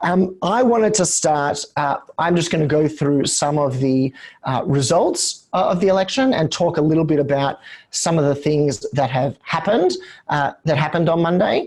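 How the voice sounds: Croaky yet slightly mellow in tone, a man speaks at a fairly high pitch and moderate pace with lively intonation and few pauses.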